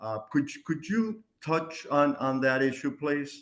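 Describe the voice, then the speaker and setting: At a fairly slow pace, a man with a fairly high pitch and a bright, sharp tone speaks with lively intonation. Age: 70s. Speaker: patient. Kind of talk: question from audience.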